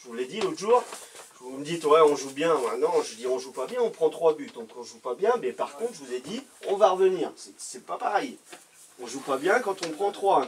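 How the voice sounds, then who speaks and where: A man with a high voice swings very widely in pitch and loudness. Noticeable background noise runs underneath. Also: moderate pace. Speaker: amateur football coach. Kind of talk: pre-match team talk. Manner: hesitant, many fillers.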